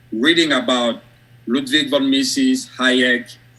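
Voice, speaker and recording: With a strong French West African accent, a man speaks very slowly at a medium pitch, his tone bright and sharp and his intonation fairly even. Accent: thick French West African. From Côte d'Ivoire, West Africa. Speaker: academic and author. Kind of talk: interview on live stream.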